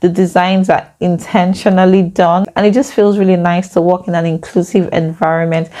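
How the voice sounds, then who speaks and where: A woman's medium-pitched voice has a dark, mellow tone and fairly even intonation. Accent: Nigerian. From Nigeria. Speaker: YouTuber. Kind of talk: vlog talk to camera. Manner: fast.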